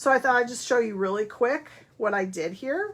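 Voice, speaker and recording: A woman speaks loudly at a moderate pace. Her pitch sits fairly high. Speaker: papercraft demonstrator. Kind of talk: craft tutorial.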